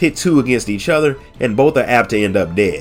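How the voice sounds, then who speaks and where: A man talks with lively intonation at a moderate pace while music plays behind him. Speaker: lore narrator. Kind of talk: audiobook story reading. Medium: read story.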